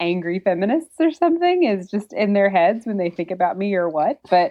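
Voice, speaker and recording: Talking at a fairly quick pace in a Southern US accent, a woman makes very wide pitch swings. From US South. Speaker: author and blogger. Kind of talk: podcast interview. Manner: casual, conversational.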